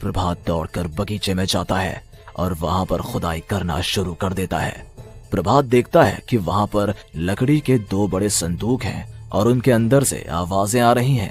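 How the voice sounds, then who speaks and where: A man speaks in a cartoonish character voice, fairly low in pitch, at a moderate pace. Music plays clearly in the background. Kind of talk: horror narration.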